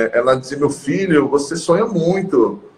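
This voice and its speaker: Noticeable background noise runs under this recording. The man's pitch variation is ordinary. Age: 40s. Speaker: gynecologist and professor. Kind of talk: live stream interview.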